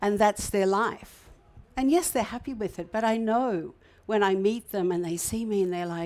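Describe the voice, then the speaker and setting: In an Australian accent, a woman speaks at a moderate pace and medium pitch, with ordinary pitch variation. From Queensland, Australia. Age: 60s. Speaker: hotel manager and entrepreneur. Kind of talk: inspirational talk. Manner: hesitant, with fillers and repetitions.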